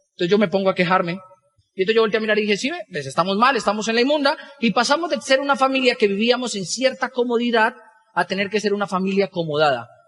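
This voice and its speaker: Intonation rises and falls in a lively way. Words come out at a very fast pace. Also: man, high pitch for a man. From Colombia, Boyacá. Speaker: business motivational speaker. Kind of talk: motivational talk.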